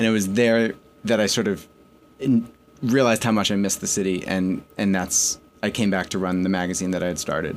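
Speaking at a fairly quick pace with an American accent, a man uses a normal speaking voice, fairly low in pitch, with fairly even intonation. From New York and Connecticut. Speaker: magazine editor-in-chief. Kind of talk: interview.

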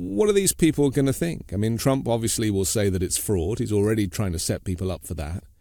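A man with a British accent talks fairly quickly at a fairly low pitch, pausing hardly at all. His tone is dark and mellow, his intonation lively. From Britain. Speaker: news podcast host. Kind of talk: interview.

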